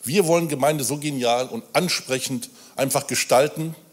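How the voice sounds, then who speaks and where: There is noticeable background noise as a man talks at a fairly slow pace. His fairly high voice has lively intonation. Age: 50s. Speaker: church volunteer. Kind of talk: sermon. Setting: church.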